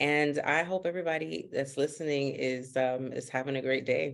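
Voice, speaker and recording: A woman talks at a moderate pace in a very deep, low pitch. Her intonation stays fairly even against a quiet background. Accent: Haitian. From US, Miami, Florida (North Miami, Haitian community). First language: Haitian Creole. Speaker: investment coach. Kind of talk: podcast interview.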